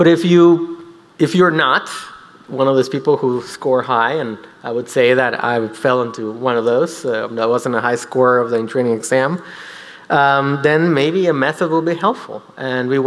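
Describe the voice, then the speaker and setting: A man speaks with ordinary pitch variation at a moderate pace. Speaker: physician lecturer. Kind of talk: lecture. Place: hall. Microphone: podium.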